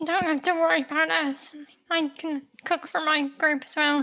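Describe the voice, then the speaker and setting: A woman uses a put-on character voice pitched high, moving at a moderate pace with fairly even intonation. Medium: actual play. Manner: polite, a little hesitant.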